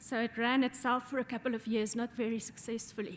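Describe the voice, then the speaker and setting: A woman speaks in a South African accent, her pitch high. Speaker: law professor. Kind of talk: audience remarks.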